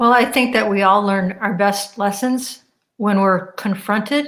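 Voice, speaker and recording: At a fairly slow pace, a woman with an ordinary speaking voice talks at medium pitch with fairly even intonation. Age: 60s. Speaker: radio host. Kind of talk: interview conversation.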